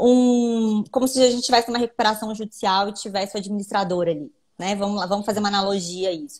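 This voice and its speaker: A woman speaks very fast in a fairly high, somewhat breathy voice with ordinary pitch variation. The recording is very clean, with a silent background. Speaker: lawyer. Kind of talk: live stream interview explaining law.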